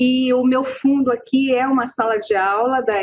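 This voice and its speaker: A woman talks at a very slow pace. Her pitch is high. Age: 60s. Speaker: public health interviewer. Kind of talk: interview. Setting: classroom.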